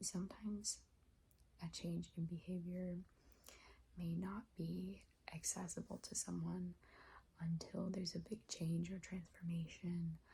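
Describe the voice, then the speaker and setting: Soft-spoken and tired in tone, this voice moves at a fairly slow pace. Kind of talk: advice script delivered to camera in a calm, reflective talk. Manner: tired, soft, hesitant with frequent filler words.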